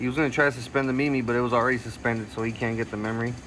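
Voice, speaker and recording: A man talks at medium pitch over music in the background. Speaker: card game content creator. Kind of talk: gameplay commentary narration. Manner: casual; halting, self-correcting.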